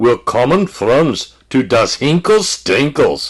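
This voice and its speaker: Putting on a character voice in a German accent, a man talks at a very slow pace with a fairly high pitch. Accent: German, put-on. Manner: comic.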